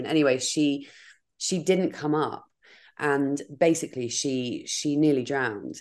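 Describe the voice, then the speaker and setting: With a southern English accent, a woman speaks at a very deep, low pitch. Her pitch variation is ordinary, and the background is quiet. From Dorset, southern England. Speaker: podcaster. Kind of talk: casual chat. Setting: video call.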